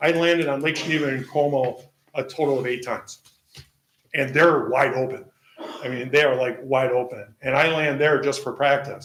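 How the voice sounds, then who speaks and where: A man's fairly high voice at a moderate pace. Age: 60s. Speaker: seaplane pilot applicant. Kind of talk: public hearing testimony. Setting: public meeting. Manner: halting, frequent fillers.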